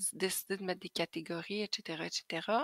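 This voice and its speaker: A woman with a Quebec accent, ordinary pitch variation, and a dry, close sound with no echo. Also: very clean recording, silent background. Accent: Québécois French. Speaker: Thermomix sales advisor. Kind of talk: tutorial. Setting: screen recording at computer. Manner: casual, hesitant with fillers.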